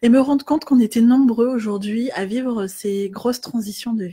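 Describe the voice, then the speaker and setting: This woman has a high voice with a dark, mellow tone. She talks at a moderate pace with lively intonation. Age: 30s. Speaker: life coach. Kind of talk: facebook live talk. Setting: live video stream. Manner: hesitant, many filler words.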